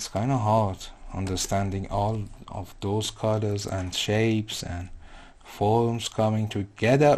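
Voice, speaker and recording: Speaking fairly slowly with a non-native accent, a man keeps a fairly low pitch and fairly even intonation. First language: not English. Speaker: digital artist. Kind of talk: live painting tutorial.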